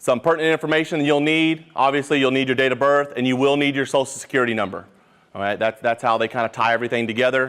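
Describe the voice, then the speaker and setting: Over a quiet background, the speech moves at a very fast pace with fairly even intonation. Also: man, medium pitch for a man. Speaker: school program coordinator. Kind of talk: informational meeting presentation.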